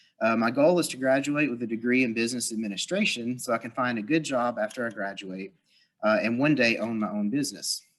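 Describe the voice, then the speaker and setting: Using ordinary pitch variation, a man speaks at a fairly quick pace. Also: quiet background. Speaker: workshop presenter. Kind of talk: lecture. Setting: live audience with virtual viewers. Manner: fast.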